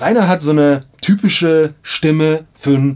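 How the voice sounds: With ordinary pitch variation and a slightly mellow tone, the speaker talks at a fairly slow pace. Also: man.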